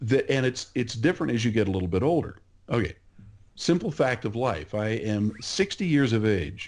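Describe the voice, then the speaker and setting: Against a quiet background, a man speaks with an American accent. His pitch swings very widely. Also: medium pitch for a man, moderate pace. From California. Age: 60s. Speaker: market researcher. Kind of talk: podcast interview.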